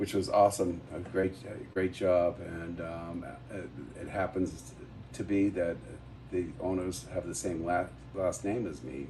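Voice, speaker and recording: This man has a very deep, low pitch, a dark, mellow tone, and vocal fry, with an American accent. He talks at a fairly slow pace with fairly even intonation. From Massachusetts (Quincy). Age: 60s. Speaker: bar owner. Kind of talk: casual chat. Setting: live show at a brewery.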